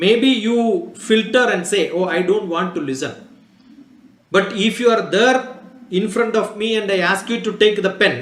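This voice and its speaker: With a Keralan accent, a man talks at a moderate pace in a high pitch with ordinary pitch variation over noticeable background noise. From Kerala, India. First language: Malayalam. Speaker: scientist. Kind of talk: talk to students.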